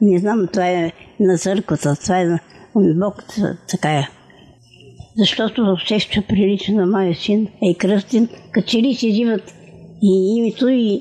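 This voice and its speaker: A woman talks at a fairly slow pace with long, frequent pauses, at medium pitch with ordinary pitch variation. The sound is dry and close with no echo, though there is noticeable background noise. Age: 80s+. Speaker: centenarian interviewee. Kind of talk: casual interview, life story.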